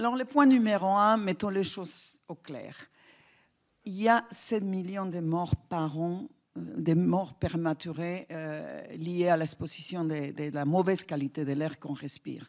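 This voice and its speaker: In a very clean recording with a silent background, a woman with a non-native accent talks at a very slow pace and a fairly low pitch. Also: lively intonation. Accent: foreign accent in French. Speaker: public health official. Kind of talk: conference talk. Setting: stage with audience. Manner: hesitant, many fillers.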